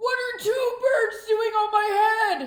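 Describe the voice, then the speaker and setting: At a fairly slow pace, a woman uses a squeaky put-on character voice of extremely high pitch, with slight echo. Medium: read story. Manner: calm, matter-of-fact.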